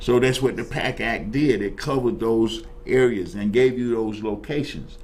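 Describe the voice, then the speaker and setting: With an American accent, a man talks at a moderate pace with ordinary pitch variation, and some room echo can be heard. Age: 70s. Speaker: talk show host and Vietnam veteran. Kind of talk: casual talk show discussion. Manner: animated, repetitive stammering restarts.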